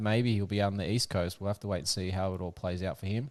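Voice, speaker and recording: With an Australian accent, a man speaks at a fairly low pitch and with fairly even intonation against a quiet background. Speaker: podcast host. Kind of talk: casual chat. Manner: halting.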